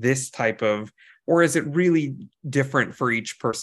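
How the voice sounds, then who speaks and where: A man speaks in a plain, everyday voice at a medium pitch and a fairly quick pace. His pitch variation is ordinary, and the background is quiet. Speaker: podcast host. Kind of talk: casual interview.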